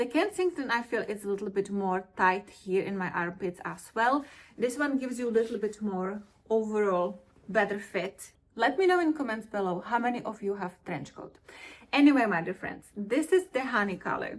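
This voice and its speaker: A woman speaks at a moderate pace with lively intonation and a fairly high pitch. It is an ordinary speaking voice. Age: 40s. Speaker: fashion vlogger. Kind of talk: product review vlog.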